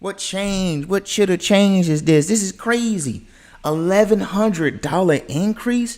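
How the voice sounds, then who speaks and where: The recording is very clean, with a silent background. A man speaks in an American accent. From US South, the Carolinas. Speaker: content creator, reaction streamer. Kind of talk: live reaction stream. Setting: livestream. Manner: animated.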